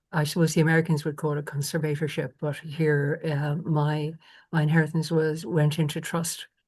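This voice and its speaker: Over a quiet background, a woman with a very deep, low, somewhat breathy voice speaks at a moderate pace in a monotone, flat intonation. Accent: Irish. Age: 70s. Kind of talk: conversation on a conference panel.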